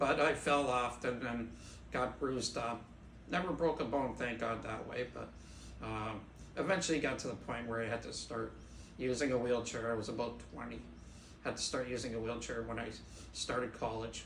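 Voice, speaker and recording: Long, frequent pauses break up speech at a moderate pace with fairly even intonation. Noticeable background noise and audible room echo fill the recording. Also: man, medium pitch for a man. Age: 60s. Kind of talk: interview.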